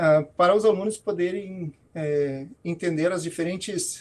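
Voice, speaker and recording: A man speaks at a very slow pace with a high pitch. The background is quiet. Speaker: professor. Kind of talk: talk to students in an online alumni event. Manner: halting, many fillers.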